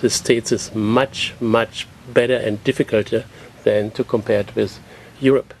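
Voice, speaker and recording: A man speaks at a moderate pace with a German accent, his intonation flat and monotone. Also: medium pitch for a man. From Germany. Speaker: realtor. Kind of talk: TV interview.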